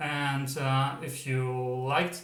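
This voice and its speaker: A German accent with audible room echo. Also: man. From Germany. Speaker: psychic medium, tarot reader. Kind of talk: pick-a-card tarot reading intro. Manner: hesitant, many fillers.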